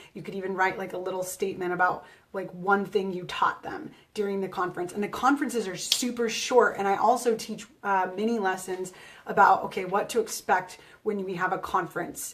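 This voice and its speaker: A woman at a medium pitch and fairly quick pace, fairly even intonation, with big swings in loudness. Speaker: teacher. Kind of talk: live broadcast talk.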